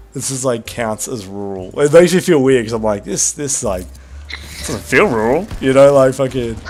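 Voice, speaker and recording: Speaking with an Australian accent, a man uses a medium pitch, ordinary pitch variation and a moderate pace. Noticeable background noise runs under his voice. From Tasmania, Australia. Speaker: gaming streamer. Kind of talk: casual chat. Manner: animated.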